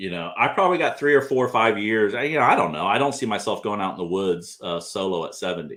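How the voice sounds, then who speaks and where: A man's fairly low, lively voice, a normal speaking voice. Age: 60s. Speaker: bigfoot researcher and channel host. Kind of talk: casual livestream chat. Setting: livestream studio.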